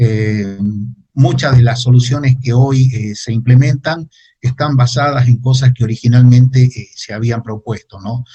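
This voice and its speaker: A man speaks in a somewhat breathy voice with a dark, mellow tone. His pace is fairly slow. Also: medium pitch for a man, fairly even intonation. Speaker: geographer giving a talk. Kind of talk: lecture. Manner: halting with many fillers.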